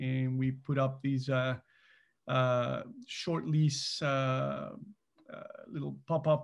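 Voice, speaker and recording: A man talks in a medium pitch with a somewhat breathy quality. His intonation stays fairly even. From Mexico. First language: Spanish. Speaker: business co-founder, finance executive. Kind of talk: interview. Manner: hesitant, many fillers.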